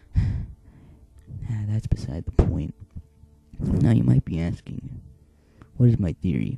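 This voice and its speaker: A man speaks quietly in a very deep, low voice at a very slow pace, with very wide pitch swings, long and frequent pauses, music in the background, and a dry, close sound with no echo. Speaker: gaming video creator. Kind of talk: casual talk to camera.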